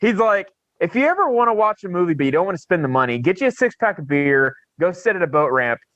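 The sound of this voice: With a bright, sharp tone, a man talks fairly quickly at a fairly high pitch with ordinary pitch variation.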